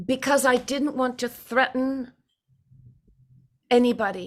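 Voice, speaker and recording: In a very clean recording with a silent background, a woman speaks at a high pitch in a monotone, flat way. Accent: American. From California. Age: 70s. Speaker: recovery program speaker. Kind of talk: personal testimony.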